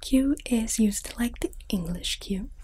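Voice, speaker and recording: A soft-spoken woman at a very slow pace. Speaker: ASMR artist. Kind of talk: ASMR teacher roleplay, language lesson.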